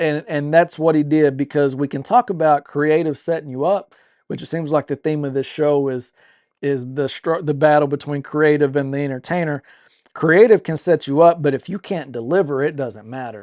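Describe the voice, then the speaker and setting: A man with an ordinary speaking voice talks at a moderate pace, his pitch fairly high with ordinary variation. The sound is dry and close with no echo, over a quiet background. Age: 40s. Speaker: wrestling podcast co-host. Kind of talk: casual chat.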